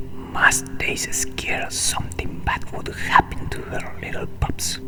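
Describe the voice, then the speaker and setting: A whispered voice moves at a fairly slow pace over noticeable background noise. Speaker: ASMR creator. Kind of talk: read story for relaxation.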